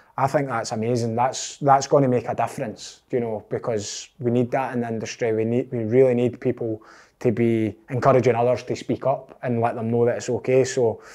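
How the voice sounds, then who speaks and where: A man in a Scottish accent, fairly quick, with a dark, mellow tone and monotone, flat intonation. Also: medium pitch for a man, very clean recording, silent background. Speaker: podcast host. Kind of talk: interview.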